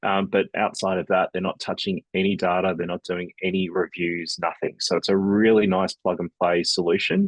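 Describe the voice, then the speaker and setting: A man with an Australian accent talks at a moderate pace with hardly any pauses, his very deep, low pitch held in a monotone, flat intonation, the sound dry and close with no echo against a quiet background. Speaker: email marketing agency owner. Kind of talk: business webinar presentation. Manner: casual, conversational.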